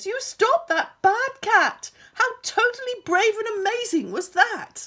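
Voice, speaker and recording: In a put-on character voice, a woman speaks fairly slowly with an extremely high, squeaky pitch. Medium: read story. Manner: dramatic, gushing.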